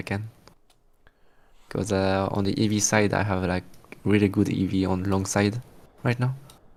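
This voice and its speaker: At a moderate pace, a man speaks with a French accent. His pitch is fairly low and his intonation fairly even. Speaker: day trader. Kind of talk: casual chat. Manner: halting.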